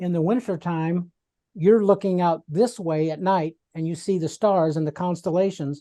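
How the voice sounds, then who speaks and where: The speaker goes at a moderate pace against a quiet background. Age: 50s. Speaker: podcast host. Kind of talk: casual discussion.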